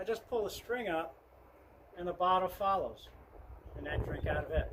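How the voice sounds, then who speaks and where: A man talks fairly quickly while background noise is noticeable throughout. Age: 60s. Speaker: thru-hiker vlogger. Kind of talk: gear tutorial. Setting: at a table showing gear. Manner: casual, conversational.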